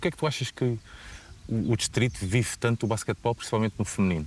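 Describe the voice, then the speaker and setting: A man's voice at a very fast pace, ordinary pitch variation, dry sound with no echo and light background noise. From Portugal. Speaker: sports channel interviewer; interviewer. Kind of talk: interview. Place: open country. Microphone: lapel.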